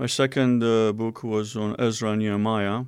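A man with a Romanian accent speaks at a fairly low pitch in a monotone, flat intonation, on a very clean recording with a silent background. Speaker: seminary professor. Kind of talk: interview.

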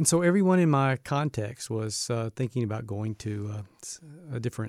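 In a Southern US accent, a man with a medium-pitched voice talks at a fairly quick pace with lively intonation, in a dry, close sound with no echo on a very clean recording with a silent background. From US South, Birmingham, Alabama. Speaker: university president. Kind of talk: interview.

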